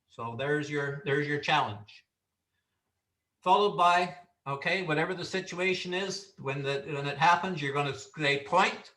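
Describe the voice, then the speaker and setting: A man speaks at a moderate pace with a fairly high pitch and ordinary pitch variation. His tone is bright and sharp, and the room has an audible echo. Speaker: referee instructor. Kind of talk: training lecture.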